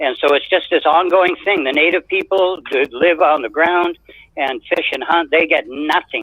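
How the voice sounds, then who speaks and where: A man with a western Canadian accent. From Canada, British Columbia (Sechelt). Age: 70s. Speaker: caller. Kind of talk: call-in opinion.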